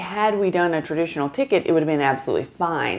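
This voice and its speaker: The woman speaking has a fairly low pitch. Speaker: travel vlogger. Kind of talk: casual vlog chat. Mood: relaxed, chatty. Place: home room.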